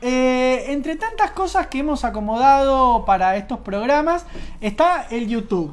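With an Argentine accent, a woman speaks fairly slowly at a high pitch, her voice making very wide pitch swings. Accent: Argentine Spanish (Rioplatense). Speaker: radio show co-host. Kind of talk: casual chat.

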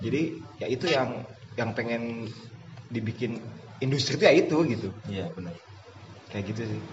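At a moderate pace, a man speaks in a medium pitch with ordinary pitch variation, big swings in loudness, and long, frequent pauses. Noticeable background noise and audible room echo are present. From Bandung, West Java. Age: 20s. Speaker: football assistant coach. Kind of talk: casual interview. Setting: outdoors.

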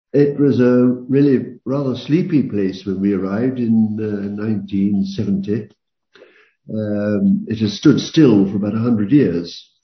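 A man speaks very slowly at a fairly low pitch, with ordinary pitch variation. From London. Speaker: retired professor. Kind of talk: interview. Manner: halting.

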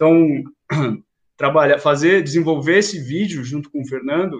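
Pitched fairly high with ordinary pitch variation, a man speaks in a plain, everyday voice. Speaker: museum educator. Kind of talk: interview.

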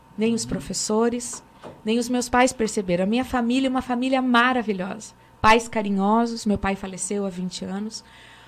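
Using a normal speaking voice, a woman talks at a moderate pace with a fairly high pitch and ordinary pitch variation. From Brazil, Francisco Beltrão, Paraná. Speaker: pastor. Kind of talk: panel discussion. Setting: studio.

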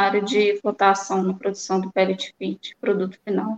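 A woman with an unremarkable speaking voice talks fairly quickly at a medium pitch. The sound is dry and close, with no echo. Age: 30s. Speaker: mining professional. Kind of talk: testimony.

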